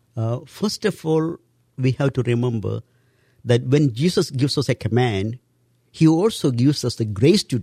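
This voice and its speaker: A man with an Indian accent at a medium pitch, with a dark, mellow tone, somewhat breathy delivery, lively intonation and a moderate pace, in a very clean recording with a silent background and a dry, close sound with no echo. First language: Indian language. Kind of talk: interview, religious teaching.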